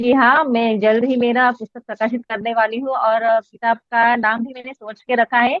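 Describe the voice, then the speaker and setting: With a Marathi accent, the speaker keeps a moderate pace, fairly even intonation and hardly any pauses. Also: woman, fairly high pitch for a woman. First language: Marathi (speaking Hindi). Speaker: poet, record holder. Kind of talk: interview. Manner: halting.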